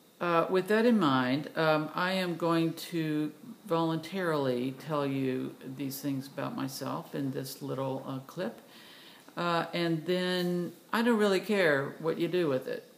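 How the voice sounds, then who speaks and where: A woman with a Southern US accent speaks at a fairly slow pace in a very deep, low voice with ordinary pitch variation. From US South, Tennessee. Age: 60s. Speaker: vlogger, retired doctor. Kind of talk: personal video monologue. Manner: halting, many fillers.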